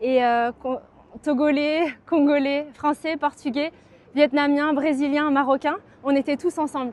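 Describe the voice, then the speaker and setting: A woman speaks slowly-ish at a high pitch with flat, monotone intonation and long, frequent pauses, in a dry, close sound with no echo. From France, Poitiers. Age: 30s. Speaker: local election candidate and dentist. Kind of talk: campaign video message.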